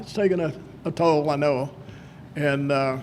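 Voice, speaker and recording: A man's voice, with ordinary pitch variation, comes through over noticeable background noise. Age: 80s+. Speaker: inductee, former Olympic wrestler and coach. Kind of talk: acceptance speech. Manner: halting.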